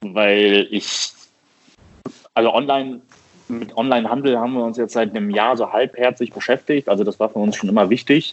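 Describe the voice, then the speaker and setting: Speaking at a moderate pace and medium pitch, a man leaves long, frequent pauses. His delivery stops often. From Düsseldorf, western Germany. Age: 30s. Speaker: coffee roaster. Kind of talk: casual chat. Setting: phone call.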